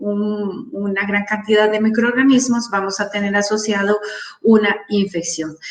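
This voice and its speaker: At a fairly slow pace, a woman speaks in a normal speaking voice with a fairly high pitch. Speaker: wound care nurse speaker. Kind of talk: conference talk.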